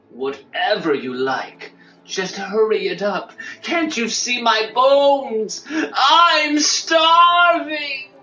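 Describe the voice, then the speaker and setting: A put-on character voice, pitched high, speaks at a very slow pace. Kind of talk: audio drama dialogue.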